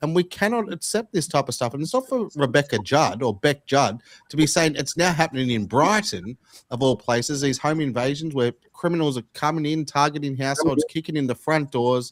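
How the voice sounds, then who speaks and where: With an Australian accent, a man speaks at a fairly high pitch and a fairly quick pace. His intonation is lively, and the sound is dry and close with no echo. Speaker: podcast host. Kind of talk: casual political discussion.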